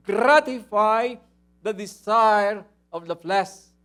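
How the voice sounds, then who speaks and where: The voice is loud, with ordinary pitch variation. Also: man. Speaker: pastor. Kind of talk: sermon. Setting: church.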